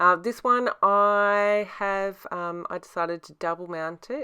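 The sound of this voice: A woman's voice comes across bright and sharp yet clear and smooth, with ordinary pitch variation.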